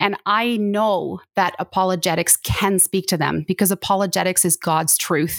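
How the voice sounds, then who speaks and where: A woman with a Canadian accent talks in an ordinary speaking voice, hardly pausing, with fairly even intonation and very even loudness, in a very clean recording with a silent background and a dry, close sound with no echo. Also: medium pitch for a woman, moderate pace. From Canada. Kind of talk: interview testimony.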